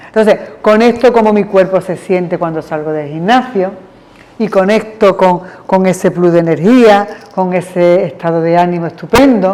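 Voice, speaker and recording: A woman talks at a moderate pace and medium pitch. Her pitch varies an ordinary amount, with noticeable background noise behind her. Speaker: psychologist leading therapy group. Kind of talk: group therapy session. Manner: animated.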